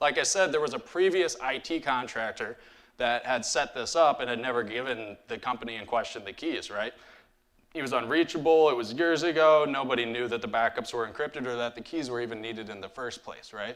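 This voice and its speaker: The recording is very clean with a silent background. A man with a Midwestern accent talks at a fairly quick pace, at a medium pitch with ordinary pitch variation. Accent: Midwest US. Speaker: cybersecurity incident responder. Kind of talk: conference talk. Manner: casual, frequent fillers.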